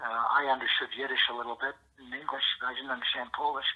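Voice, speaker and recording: With noticeable background noise, a man with a Canadian accent speaks at a fairly quick pace and fairly high pitch in a monotone, flat intonation. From Canada, London, Ontario. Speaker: former senator. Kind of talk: interview storytelling. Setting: phone call. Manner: halting, repetitive.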